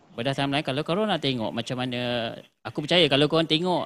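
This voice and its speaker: A man speaks at a fairly quick pace, and his pitch varies in an ordinary way. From Malaysia. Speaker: livestream host of a video production channel. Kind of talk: casual livestream chat. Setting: live stream on social media. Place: studio.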